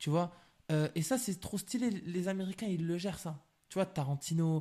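A man speaks with a high pitch and a dark, mellow tone in a very clean recording with a silent background. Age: 20s. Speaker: film director. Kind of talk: casual chat.

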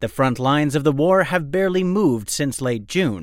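Against a silent background in a very clean recording, a man with a plain, everyday voice speaks at a moderate pace, fairly high in pitch and with lively intonation. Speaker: news presenter. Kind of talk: formal newsreading: crisp, scripted bulletin of world-affairs analysis. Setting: studio. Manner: measured, even-paced and authoritative; serious, polished delivery with little emotion.

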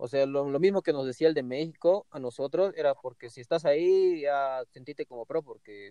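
Fairly quick and with hardly any pauses, a man with an unremarkable speaking voice talks at a fairly high pitch, his loudness swinging widely. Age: 20s. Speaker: professional skateboarder. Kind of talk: interview.

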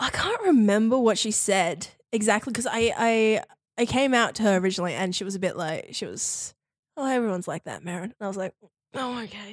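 A woman talks at a fairly quick pace with an Australian accent. Her pitch is fairly high, and the recording is very clean with a silent background. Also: ordinary pitch variation. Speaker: university student, guest sharing queer experience. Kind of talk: casual interview chat. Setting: studio. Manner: talkative.

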